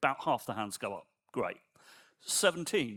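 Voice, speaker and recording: Fairly slow speech from a man with vocal fry, in a very clean recording with a silent background. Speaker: software engineer and conference speaker. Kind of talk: conference talk. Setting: stage with audience. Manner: soft-spoken.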